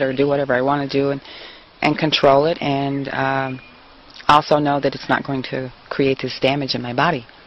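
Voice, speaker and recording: Speech at a moderate speed with clearly audible background noise. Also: woman. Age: 50s. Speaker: interviewee. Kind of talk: interview.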